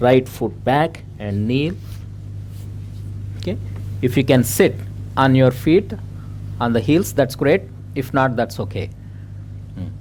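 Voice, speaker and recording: Amid noticeable background noise, a man with an American accent speaks at a fairly slow pace and medium pitch with ordinary pitch variation. He leaves long, frequent pauses. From India. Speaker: yoga teacher. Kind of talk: yoga class instruction. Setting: festival class with live group. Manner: hesitant, many fillers (uh, okay).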